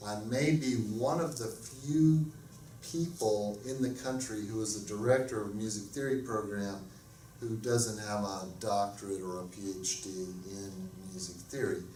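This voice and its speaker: Noticeable background noise and audible room echo surround the recording. A man with an American accent speaks at a fairly slow pace in a fairly low pitch. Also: ordinary pitch variation. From US South, Alabama. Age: 50s. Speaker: music professor. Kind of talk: lecture.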